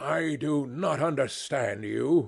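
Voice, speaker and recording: A man's raspy, fairly high-pitched put-on character voice. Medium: read story. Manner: pompous, assertive.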